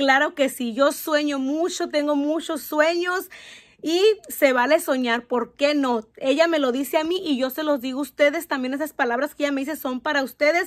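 Against a quiet background, a woman with a high voice speaks in an animated tone at a moderate pace, with ordinary pitch variation. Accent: Mexican. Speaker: youtuber. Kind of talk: reading aloud. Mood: warm, encouraging. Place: home room. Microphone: phone near.

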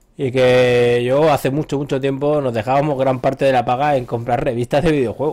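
With hardly any pauses, a man talks at a fairly quick pace, at a medium pitch, in a monotone, flat way. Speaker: gaming podcast host. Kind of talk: casual chat.

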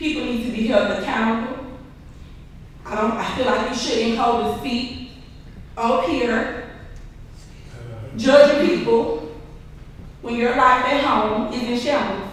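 The speaker talks at a fairly slow pace in a Louisiana accent, leaving long, frequent pauses. Noticeable background noise runs under the speech. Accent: Louisiana Southern US. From Bogalusa, Louisiana (US South). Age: 30s. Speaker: resident speaking at public comment. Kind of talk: public comment at city council meeting. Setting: city council meeting.

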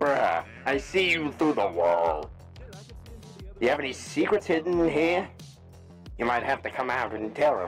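Over clear music in the background, a man uses a put-on character voice at a medium pitch and a moderate pace. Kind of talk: in-character voice trolling in a social VR game.

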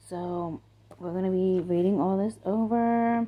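Quiet and slow, a woman speaks at a fairly low pitch in a dark, mellow tone with a slightly husky edge and ordinary pitch variation.

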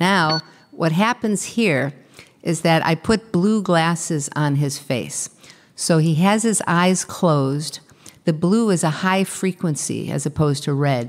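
At a fairly slow pace, a woman speaks with a very deep, low pitch and ordinary pitch variation against a quiet background. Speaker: keynote speaker. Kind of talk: lecture. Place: hall.

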